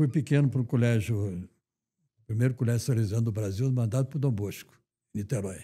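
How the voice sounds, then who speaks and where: A dark, mellow, somewhat breathy voice moves at a fairly quick pace with long, frequent pauses and ordinary pitch variation, captured in a very clean recording over a silent background. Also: man, medium pitch for a man. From Rio de Janeiro, Brazil. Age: 90s. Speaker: retired banker and finance association president. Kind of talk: interview.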